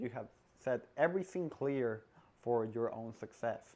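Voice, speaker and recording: A man with a non-native accent and medium pitch speaks at a fairly slow pace with ordinary pitch variation. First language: not English. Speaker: salesperson giving career advice. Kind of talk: casual advice vlog.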